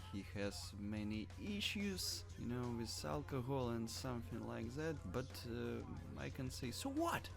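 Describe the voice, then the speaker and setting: Over background music and audible room echo, a man with a non-native accent speaks fairly slowly at a fairly low pitch. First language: not English. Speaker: wrestling commentary vlogger. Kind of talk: unscripted opinion monologue. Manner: hesitant, with fillers.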